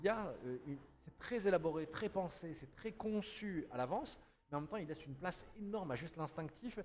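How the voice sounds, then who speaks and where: A man's animated, high-pitched voice with lively intonation at a fairly quick pace. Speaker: podcast host. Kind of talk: casual chat. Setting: studio.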